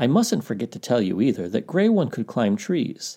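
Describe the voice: Simply plain reading aloud.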